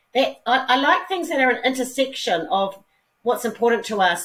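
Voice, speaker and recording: Lively intonation marks this woman's speech, delivered at a moderate pace. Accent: New Zealand. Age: 60s. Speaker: businesswoman and philanthropist. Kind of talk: interview.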